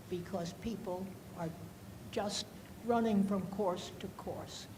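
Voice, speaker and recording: At a very slow pace, a woman with a medium pitch and ordinary pitch variation speaks amid audible room echo and noticeable background noise. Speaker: audience member, former teacher. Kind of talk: audience question.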